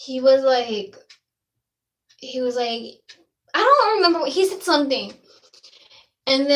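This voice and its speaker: Audible room echo surrounds a woman speaking in a high voice with lively intonation. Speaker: vlogger. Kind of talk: casual storytelling. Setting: bathroom. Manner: halting.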